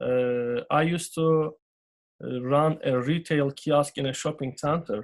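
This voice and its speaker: The speaker has a Turkish accent and ordinary pitch variation. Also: man. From Turkey. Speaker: business owner. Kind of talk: interview. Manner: halting, many fillers.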